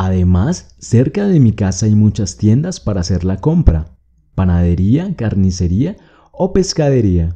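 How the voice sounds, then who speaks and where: A man with a fairly low pitch and a dark, mellow tone speaks at a fairly slow pace, somewhat breathy. His pitch swings very widely. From Colombia, Bogotá. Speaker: Spanish teacher. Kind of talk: reading aloud; tutorial. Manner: clear, slow.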